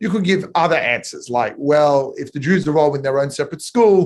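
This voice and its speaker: A man talks at a fairly quick pace, his voice somewhat breathy. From Australia, Sydney. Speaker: rabbi and educator.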